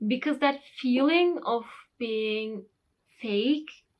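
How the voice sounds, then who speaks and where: Speaking with a Turkish accent, the voice moves at a very slow pace with lively intonation. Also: woman. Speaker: English teacher youtuber. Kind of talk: vlog talk to camera.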